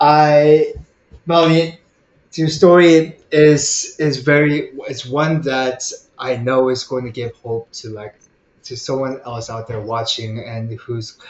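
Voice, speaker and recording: With a Korean accent, a man speaks at a very slow pace with long, frequent pauses, big swings in loudness and ordinary pitch variation. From Korea, then Koreatown in the US. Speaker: podcast host. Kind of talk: interview conversation.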